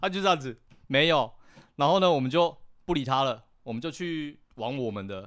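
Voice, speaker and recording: At a moderate pace, a man speaks in a fairly high pitch on a very clean recording with a silent background. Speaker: freelance boxing and fitness coach. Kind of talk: casual chat. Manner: halting.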